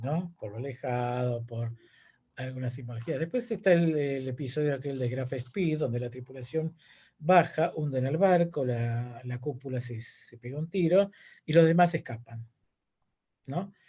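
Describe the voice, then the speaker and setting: Somewhat breathy, with a dark, mellow tone, a man speaks at a fairly slow pace with ordinary pitch variation in a quiet background. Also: medium pitch for a man. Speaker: teacher and political activist. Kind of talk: lecture Q&A. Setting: video call.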